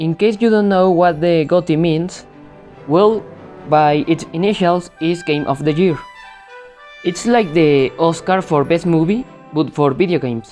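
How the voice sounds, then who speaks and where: Long, frequent pauses, a fairly slow pace and a non-native accent, with ordinary pitch variation, very even loudness and music in the background. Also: woman, fairly low pitch for a woman. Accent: non-native English pronunciation. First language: non-native English speaker. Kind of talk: video game review talk.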